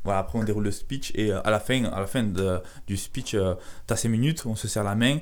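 Here a man speaks in a fairly low voice with ordinary pitch variation. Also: fairly quick pace. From southern France (Carcassonne). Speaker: entrepreneur, sales coach. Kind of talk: casual interview. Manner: halting, repetitive.

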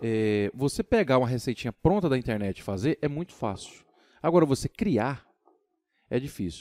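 The man's medium-pitched voice has a dark, mellow tone, and the sound is dry and close with no echo. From São Paulo, Brazil. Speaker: craft brewer and musician. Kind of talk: casual chat.

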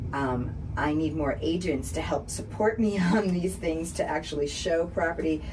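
A woman with an American accent at a fairly slow pace, amid noticeable background noise. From Boston. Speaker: radio host. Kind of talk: live radio interview. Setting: radio studio.

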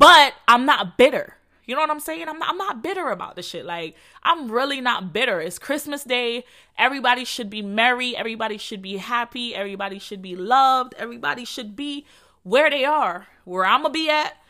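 A woman with a Jamaican accent speaks in a high, bright, sharp voice with an animated tone, very wide pitch swings and big swings in loudness, on a very clean recording with a silent background. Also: fairly quick pace. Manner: animated, casual.

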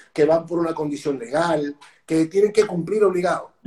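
A man talks at a fairly quick pace with a Venezuelan accent. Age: 40s. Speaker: speaker and personal trainer. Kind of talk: interview.

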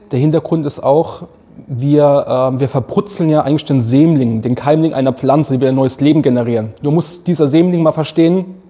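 A man's fairly high, dark, mellow voice at a moderate pace, with ordinary pitch variation. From Mannheim, south-western Germany. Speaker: coffee roaster and café owner. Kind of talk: casual interview. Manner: animated.

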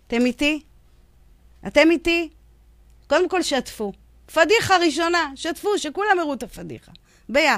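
Long, frequent pauses break up a woman's high-pitched, lively speech, delivered at a moderate pace. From Israel, Yemenite family. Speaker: radio host. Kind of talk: radio show with phone interview. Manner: hesitant, many fillers.

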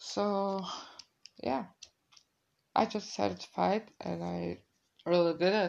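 Slow and fairly low-pitched, a woman speaks with fairly even intonation, a slightly mellow tone and vocal fry.

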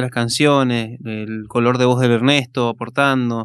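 Against a quiet background, a man talks fairly slowly at a medium pitch in a flat monotone. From Argentina, Mendoza (Maipú). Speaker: musician, singer-songwriter. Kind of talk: casual radio interview. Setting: radio studio, live.

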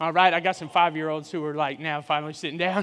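A man speaks with a bright, sharp tone and an animated delivery. The recording is very clean, with a silent background. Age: 40s. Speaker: guest preacher. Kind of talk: sermon. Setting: church with live audience.

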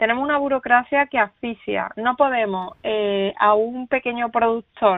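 Speaking with an Andalusian accent, a woman uses a fairly high pitch, fairly even intonation and a moderate pace. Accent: Andalusian accent, kept. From Andalusia, Spain. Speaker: writer and veterinarian. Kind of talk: interview.

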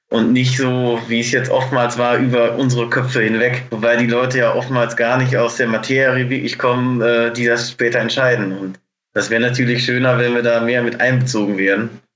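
A man's medium-pitched voice keeps a monotone, flat line. He goes at a moderate pace with hardly any pauses. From Germany, Münsterland near the Dutch border. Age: 20s. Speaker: poultry farmer. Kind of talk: interview.

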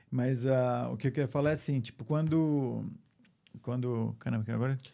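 A man's dark, mellow, medium-pitched voice with fairly even intonation and a fairly quick pace, in a very clean recording with a silent background. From São Paulo, Brazil. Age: 50s. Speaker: photographer. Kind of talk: casual interview.

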